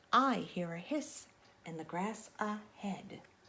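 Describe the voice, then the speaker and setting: Putting on a character voice, a woman speaks at a medium pitch. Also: fairly slow pace. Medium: read story.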